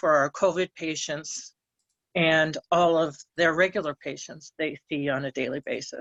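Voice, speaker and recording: A woman's fairly low pitch, a normal speaking voice, fairly even intonation, and a fairly slow pace. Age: 60s. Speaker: public commenter. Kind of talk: public comment.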